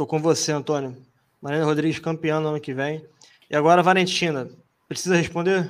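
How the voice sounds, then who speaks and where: A man's flat, monotone delivery at a fairly high pitch and fairly quick pace, broken by long, frequent pauses. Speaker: podcast host. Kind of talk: casual chat. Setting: live stream.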